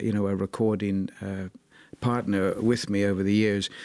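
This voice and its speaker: Over a silent background in a very clean recording, a man with an Irish accent speaks at a fairly quick pace in a fairly low pitch. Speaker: jazz musician. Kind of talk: interview.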